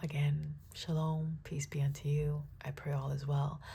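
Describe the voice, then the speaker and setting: A woman with a very deep, low pitch and a flat, monotone delivery, somewhat breathy, with audible room echo. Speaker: tarot reader. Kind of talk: tarot reading with prayer. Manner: halting, some garbled speech.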